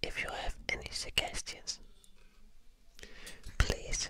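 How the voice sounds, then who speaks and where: Whispering at a very slow pace, a soft-spoken man comes through in a dry sound with no echo, with noticeable background noise behind him. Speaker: ASMR creator. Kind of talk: soft-spoken ASMR talk to viewers. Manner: soft close whisper into ear mic. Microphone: studio mic.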